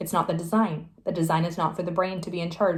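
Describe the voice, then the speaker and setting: The voice belongs to a woman. It is somewhat breathy. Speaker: spiritual tarot reader. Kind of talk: tarot reading monologue. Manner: halting, many fillers.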